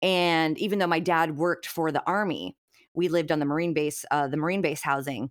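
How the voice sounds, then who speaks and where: On a very clean recording with a silent background, a woman with an unremarkable speaking voice speaks at a fairly quick pace, her fairly low pitch carried in fairly even intonation. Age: 30s. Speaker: podcaster. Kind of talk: casual chat.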